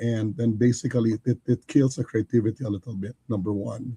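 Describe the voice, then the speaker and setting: At a fairly quick pace, a man's somewhat breathy, medium-pitched voice carries a dark, mellow tone in a dry, close sound with no echo. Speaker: engineer and business leader. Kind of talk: livestream interview. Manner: halting.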